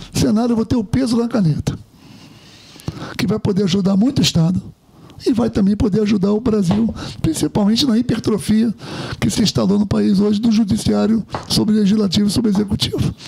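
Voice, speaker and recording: A man with a high pitch talks at a fairly quick pace, with long, frequent pauses and ordinary pitch variation. His loudness stays very even over noticeable background noise. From Rio de Janeiro, Brazil. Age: 60s. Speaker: retired military officer and politician. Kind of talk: interview.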